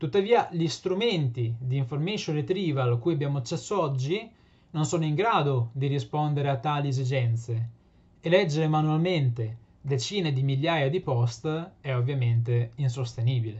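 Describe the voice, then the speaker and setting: The voice is somewhat breathy, with lively intonation. It keeps a moderate pace. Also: man, fairly high pitch for a man. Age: 20s. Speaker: PhD student and patient advocate. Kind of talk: prepared presentation. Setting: remote video link. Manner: formal. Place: home room. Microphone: webcam.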